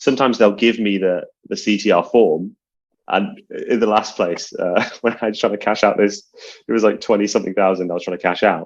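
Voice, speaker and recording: A man with a British accent, fairly low in pitch, at a fairly quick pace with fairly even intonation over a quiet background. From UK. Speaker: card counter. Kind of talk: casual chat.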